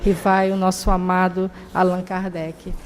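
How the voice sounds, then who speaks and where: Behind this woman there is noticeable background noise. She talks very slowly. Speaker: spiritist lecturer. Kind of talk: lecture. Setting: public talk at a spiritist center.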